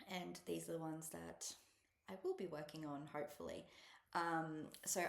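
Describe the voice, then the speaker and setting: A woman with an Australian accent, with audible room echo. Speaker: cross-stitch vlogger. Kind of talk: casual chat. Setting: at a relative's house, alone. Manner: soft-spoken; hesitant, many ums. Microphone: laptop mic.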